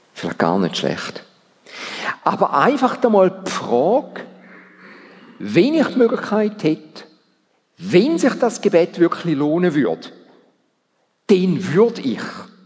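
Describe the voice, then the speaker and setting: Speaking very slowly with long, frequent pauses, a man uses a high pitch that swings very widely. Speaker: church council president giving sermon. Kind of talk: sermon. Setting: church service.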